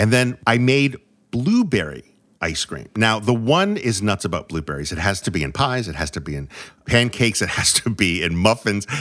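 In a very clean recording with a silent background, a man with a New England accent speaks at a moderate pace, his fairly low voice showing vocal fry and very wide pitch swings. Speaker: food podcast co-host. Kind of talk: casual chat.

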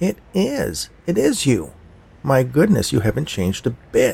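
Using a put-on character voice, a man talks nasally at a medium pitch and a moderate pace. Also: very even loudness. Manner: eager, friendly.

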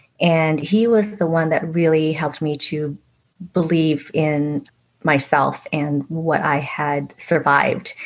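Very deep, low female voice with a Vietnamese accent, very slow pace and fairly even intonation. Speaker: author. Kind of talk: casual interview.

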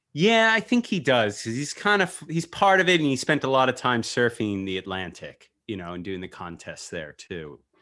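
A man speaks at a moderate pace in a medium-pitched voice with a bright, sharp tone. His pitch swings very widely, and his loudness swings a lot too. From US East Coast. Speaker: podcast host. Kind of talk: casual podcast chat. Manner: casual, joking.

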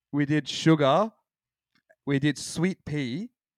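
A man speaks at a very slow pace with a fairly high pitch and ordinary pitch variation. The sound is dry and close, with no echo. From Australia, Sydney. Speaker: hardcore band frontman. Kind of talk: casual chat.

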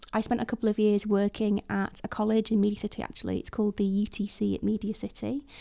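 Delivered at a very fast pace, this dark, mellow voice has a northwest English accent and monotone, flat intonation. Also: woman, medium pitch for a woman. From Chester, northwest England. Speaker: front-end developer. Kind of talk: casual chat. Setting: studio.

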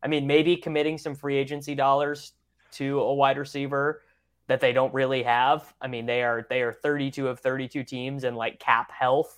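The background is quiet as a man speaks at a moderate pace. His pitch is fairly high and his intonation monotone and flat. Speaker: podcast co-host. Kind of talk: casual podcast chat.

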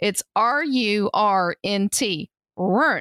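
A woman's fairly high voice, dry and close with no echo, on a very clean recording with a silent background. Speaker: podcast co-host. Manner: anxious about speech.

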